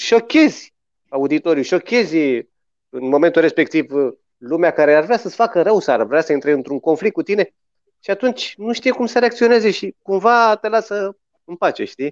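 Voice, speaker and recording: A man talks with very wide swings in pitch at a moderate pace, the background quiet. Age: 40s. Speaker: musician. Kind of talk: casual storytelling chat. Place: home room. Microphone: video call.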